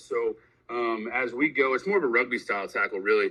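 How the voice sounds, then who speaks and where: An American man talks in an energetic tone, with an American accent. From Kansas, US. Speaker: high school football coach. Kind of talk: interview. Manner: loud, energetic; filler-heavy, hesitant.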